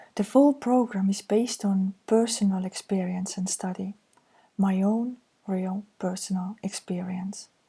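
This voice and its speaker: Speaking at a fairly slow pace with an Estonian accent, a woman has a medium pitch and fairly even intonation. Her tone is dark and mellow, and somewhat breathy. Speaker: counselor. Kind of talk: reading slides aloud.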